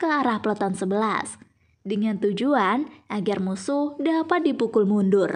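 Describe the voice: A woman's lively intonation at a moderate pace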